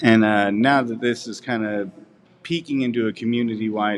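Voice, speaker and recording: A man with an American accent speaks in a normal speaking voice, at a medium pitch and with fairly even intonation. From Missouri. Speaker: news reporter. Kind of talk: interview.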